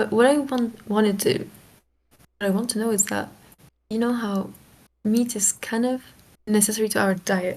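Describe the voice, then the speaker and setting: Speaking with a non-native accent, a woman with a fairly high, somewhat breathy voice keeps her intonation fairly even at a moderate pace, with long, frequent pauses. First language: not English. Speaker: guest in chat. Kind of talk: casual debate chat. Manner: halting, searching for words.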